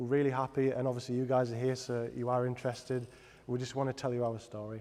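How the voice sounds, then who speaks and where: A man with a Teesside accent talks at a very fast pace in a flat monotone, his medium-pitched voice dark and mellow against audible room echo. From Middlesbrough, north-east England. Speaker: product designer. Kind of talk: presentation. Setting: stage with audience. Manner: halting.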